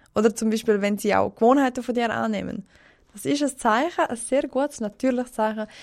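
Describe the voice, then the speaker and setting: A woman's fairly high-pitched voice with vocal fry and ordinary pitch variation, at a fairly quick pace. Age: 20s. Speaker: guest, works in hospitality service. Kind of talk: casual chat.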